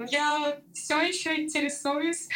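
Over noticeable background noise, a woman talks in a high voice. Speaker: former doctor and new mother of twins. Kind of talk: personal testimony in casual interview. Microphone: poor recording, interference, re-recorded on other mic.

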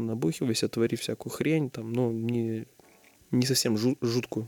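The sound is dry and close, with no echo. A man speaks in a normal speaking voice at medium pitch. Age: 20s. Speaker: restaurant co-founder. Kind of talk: interview.

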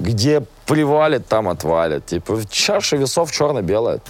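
The man's tone is animated, and his pitch swings very widely. He keeps a moderate pace. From Russia, small town. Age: 20s. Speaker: musician and blogger. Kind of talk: interview.

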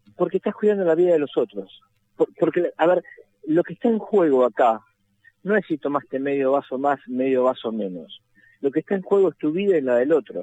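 A man's fairly high, dark and mellow voice at a fairly quick pace, lively in intonation, with a dry, close sound and no echo. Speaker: road safety activist. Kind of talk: phone interview.

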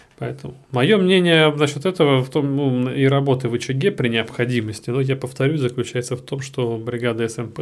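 Hardly any pauses break this man's fairly quick speech. His pitch sits in the medium range. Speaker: intensive care doctor. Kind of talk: casual chat. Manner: animated.

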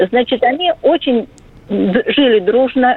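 Her voice is high-pitched, and the woman speaks with lively intonation. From Nizhny Novgorod. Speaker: caller. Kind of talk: phone-in story.

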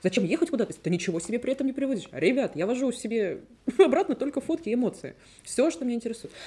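A woman speaks at a very fast pace. Her tone is dark and mellow. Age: 30s. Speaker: podcast host. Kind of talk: casual chat.

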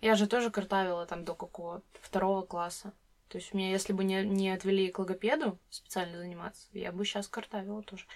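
Speaking very fast at a medium pitch, a woman keeps her intonation fairly even while her loudness swings widely. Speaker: podcast host. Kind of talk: casual chat.

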